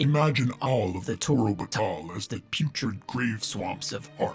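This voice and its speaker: Over clear music in the background, a man uses a booming, put-on character voice at a medium pitch and moderate pace. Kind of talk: audiobook reading. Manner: growling.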